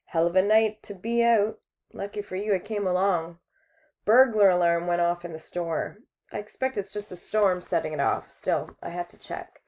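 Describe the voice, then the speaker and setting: A raspy, female-sounding put-on character voice at a middle pitch and moderate pace, with a quiet background. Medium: read story. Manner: blunt, laconic.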